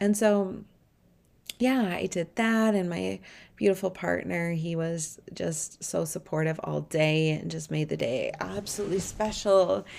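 The recording is very clean and the background silent. A woman speaks rather slowly in it. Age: 30s. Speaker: spiritual mentor and podcast host. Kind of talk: podcast monologue. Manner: hesitant fillers.

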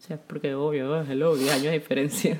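Soft-spoken and somewhat breathy, a woman talks in a dark, mellow tone. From Ecuador. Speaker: podcast co-host. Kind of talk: casual chat.

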